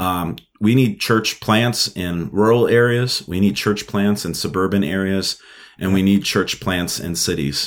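With an American accent, a man speaks in an unremarkable speaking voice, fairly low in pitch, with ordinary pitch variation and a fairly slow pace, in a very clean recording with a silent background. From New York City (Brooklyn). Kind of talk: interview.

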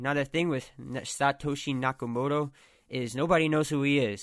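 Fairly quick and fairly even in intonation, a man with a plain, everyday voice speaks at medium pitch on a very clean recording with a silent background. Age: 20s. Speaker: solo podcast host. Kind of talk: casual monologue. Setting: his bedroom. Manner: many filler words and false starts.

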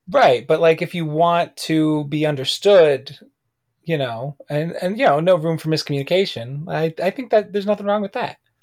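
The recording is very clean with a silent background, and the speaker uses an American accent at a moderate pace. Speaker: podcast co-host, actor. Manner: animated, joking.

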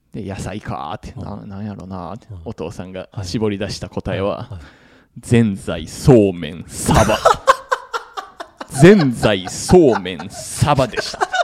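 A man with a fairly low pitch talks at a very slow pace, his intonation lively and his loudness swinging widely. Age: middle-aged. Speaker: podcast co-host. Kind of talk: casual chat.

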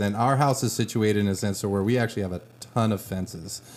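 A man talks with fairly even intonation while noticeable background noise plays behind him. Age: 30s. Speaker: podcast co-host, school administrator. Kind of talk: casual chat.

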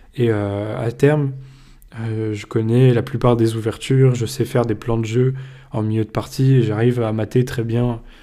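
A man's medium-pitched voice, dark and mellow in tone, with monotone, flat intonation, on a very clean recording with a silent background. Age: 20s. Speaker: podcast host, business school student. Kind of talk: solo podcast monologue. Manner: informal, with frequent hesitations.

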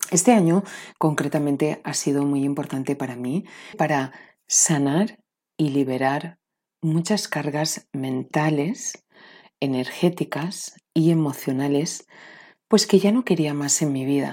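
At a very slow pace, this voice has a dark, mellow tone, captured on a very clean recording with a silent background. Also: woman, very deep, low pitch for a woman, ordinary pitch variation. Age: 40s. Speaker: podcast host and spiritual coach. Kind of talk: motivational talk and course promotion.

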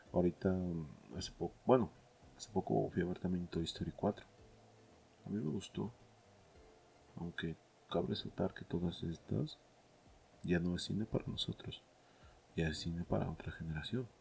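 The speaker moves at a moderate pace with long, frequent pauses and ordinary pitch variation. The voice sounds somewhat breathy. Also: man, very deep, low pitch for a man. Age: 30s. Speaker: film podcast host. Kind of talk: casual monologue. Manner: hesitant, many fillers.

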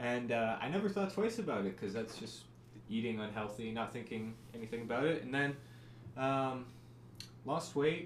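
A man's medium-pitched voice at a moderate pace, with ordinary pitch variation, long, frequent pauses and audible room echo. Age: 20s. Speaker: podcast co-host. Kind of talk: casual chat.

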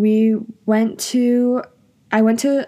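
The speaker is a woman with an American accent. Her voice has a dark, mellow tone. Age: young. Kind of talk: personal storytelling monologue. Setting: at home in her room. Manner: casual, filler-heavy with laughs.

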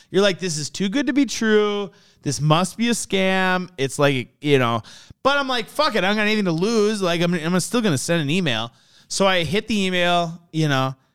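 The recording is very clean, with a silent background. A man speaks at a moderate pace in a high voice with very wide pitch swings. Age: 30s. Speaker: car enthusiast. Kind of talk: casual chat. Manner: animated.

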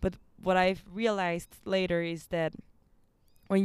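With a Spanish accent, a woman speaks at a medium pitch in a monotone, flat intonation, in a very clean recording with a silent background. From Mexico, Nuevo León. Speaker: amateur athlete, runner. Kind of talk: casual interview. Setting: rooftop outdoors.

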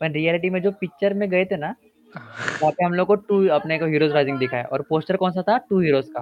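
The man's pitch is high, with ordinary variation. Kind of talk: casual chat.

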